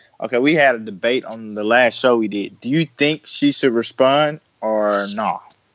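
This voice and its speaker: A plain, everyday voice from a man at medium pitch, moderate in pace with ordinary pitch variation and hardly any pauses. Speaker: podcast co-host. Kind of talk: casual podcast chat.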